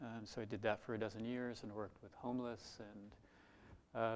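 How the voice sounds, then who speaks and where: Someone with an American accent speaks at a moderate pace in a monotone, flat intonation. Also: man. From US Midwest, Iowa. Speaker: Zen teacher. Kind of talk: dharma talk.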